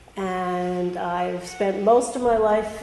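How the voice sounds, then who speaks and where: A woman with medium pitch speaks amid audible room echo. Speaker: parole board commissioner. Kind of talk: formal self-introduction at a public meeting. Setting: public board meeting.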